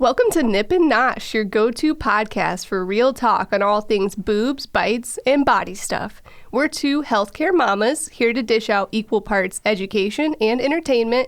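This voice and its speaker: A woman speaks at a moderate pace in a fairly high voice. Her pitch varies in an ordinary way while her loudness stays very even. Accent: American. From central Illinois, US Midwest. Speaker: podcast host, dietitian. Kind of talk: scripted intro; casual chat.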